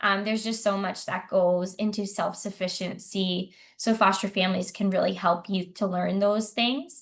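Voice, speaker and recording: Somewhat breathy, a woman at a medium pitch speaks at a moderate pace with fairly even intonation over a quiet background. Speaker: foster care agency staff presenter. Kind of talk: online info session presentation. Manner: hesitant with frequent ums.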